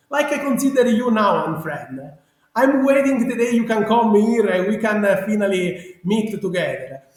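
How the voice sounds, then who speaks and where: A man's extremely high voice with a strong Sicilian accent, lively intonation and a moderate pace. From Sicily, Italy. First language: Italian. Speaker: genealogy researcher. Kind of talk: interview. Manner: halting.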